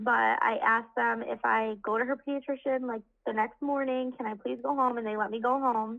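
A woman speaks in a normal speaking voice with a fairly high pitch. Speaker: mother of three. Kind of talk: casual chat.

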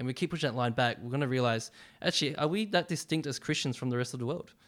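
Heard in a very clean recording with a silent background, a man speaks at a medium pitch with ordinary pitch variation. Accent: Australian. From Australia, western suburbs of Melbourne. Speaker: university ministry staff worker. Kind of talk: casual interview about faith.

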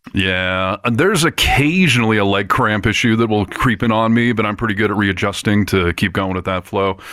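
A man with an American accent, fairly low pitch and a bright, sharp tone, speaking at a fairly quick pace with hardly any pauses and ordinary pitch variation. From US Midwest. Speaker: podcast host. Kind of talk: casual chat. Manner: animated.

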